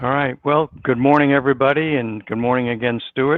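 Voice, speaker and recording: A man speaks with a New York accent. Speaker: business consultant. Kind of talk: interview.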